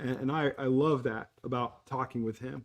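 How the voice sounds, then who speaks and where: A man speaks fairly quickly in an unremarkable speaking voice, at medium pitch with ordinary pitch variation. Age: 60s. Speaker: podcast host. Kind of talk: casual chat.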